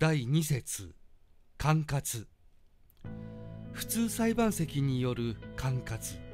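A man speaks at a very slow pace with long, frequent pauses. There is music in the background. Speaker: announcer narrator. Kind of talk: legal text reading, statute narration. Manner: clear, even-paced, deliberate.

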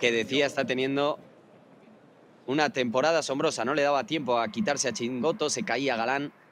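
A man with a normal speaking voice speaks at a fairly quick pace. His pitch is fairly high, with ordinary pitch variation. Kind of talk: live sports commentary on a padel match. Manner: fast, excitable play-by-play, reacting with gasps and exclamations; rapid, clipped narration of each shot and score.

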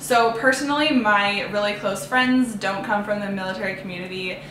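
A woman with a Canadian accent and fairly even intonation, amid audible room echo and light background noise. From Canada. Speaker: lifestyle YouTuber. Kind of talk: personal vlog storytelling. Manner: casual, chatty. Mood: warm, earnest. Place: home room.

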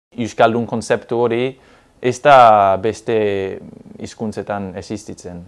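Fairly even intonation from a man with a fairly low-pitched voice. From southwest England. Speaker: Basque language learner; interviewee. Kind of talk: interview. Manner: halting. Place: studio. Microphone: lapel.

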